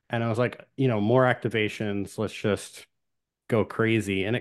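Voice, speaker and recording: Against a quiet background, a man with a plain, everyday voice speaks at a moderate pace and fairly low pitch. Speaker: tabletop gamer. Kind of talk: casual chat.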